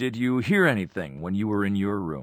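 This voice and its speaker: A man performs a put-on character voice at a fairly low pitch. His pitch swings very widely. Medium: audio drama. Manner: measured, probing.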